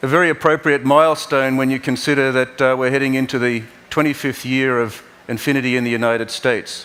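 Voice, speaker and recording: Speaking very fast in an Australian accent, a man keeps a flat, monotone delivery at a medium pitch. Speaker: car company executive. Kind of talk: keynote presentation. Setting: stage at auto show. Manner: halting.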